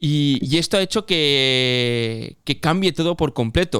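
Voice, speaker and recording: A man speaks in a Catalan accent at a fairly high pitch. The recording is very clean, with a silent background. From Catalonia. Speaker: cycling podcast host. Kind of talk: casual chat.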